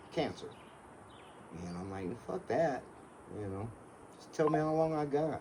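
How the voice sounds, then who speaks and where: A man with a fairly high voice speaks at a moderate pace, leaving long, frequent pauses, amid noticeable background noise. His pitch swings very widely and his loudness rises and falls sharply. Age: 70s. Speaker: car seller, retired contractor. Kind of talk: casual chat. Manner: casual, swears.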